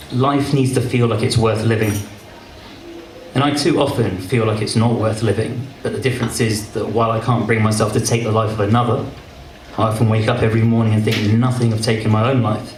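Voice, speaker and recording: Over noticeable background noise, a man speaks at a fairly quick pace in a medium-pitched, monotone, flat voice. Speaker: spoken word poet. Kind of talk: spoken word poetry performance. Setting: live open mic event.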